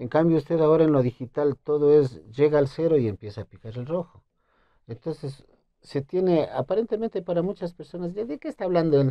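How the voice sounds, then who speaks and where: Lively intonation from a man with a fairly high pitch, at a fairly quick pace, over a quiet background. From Ecuador, Imbabura (Urcuquí); Imbabura. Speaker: requinto guitarist and composer; guest. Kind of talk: interview. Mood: relaxed, friendly. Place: studio. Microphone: lapel.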